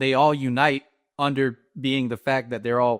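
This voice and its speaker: With a North Carolina accent, a man speaks at a moderate pace and medium pitch in a monotone, flat intonation, the sound dry and close with no echo against a quiet background. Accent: American, North Carolina. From US South, North Carolina. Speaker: comedy influencer. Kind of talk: casual interview chat.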